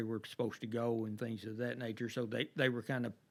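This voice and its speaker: This man speaks at a medium pitch and a fairly quick pace. His intonation is monotone and flat. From Mayfield, Kentucky. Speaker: personal injury attorney. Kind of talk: podcast interview answer. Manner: casual, hesitant with fillers.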